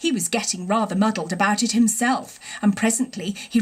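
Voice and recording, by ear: Someone reads the words aloud in a natural voice.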